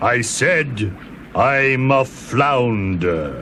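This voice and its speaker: Over clear background noise, a man puts on a character voice at a medium pitch. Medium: audio drama. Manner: calm, repetitive.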